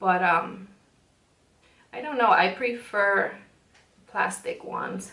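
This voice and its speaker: A woman's very slow speech in a Spanish accent, broken by long, frequent pauses, with audible room echo. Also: medium pitch for a woman, ordinary pitch variation. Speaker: beauty vlogger. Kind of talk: makeup tutorial. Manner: frequent um fillers and pauses; casual, chatty.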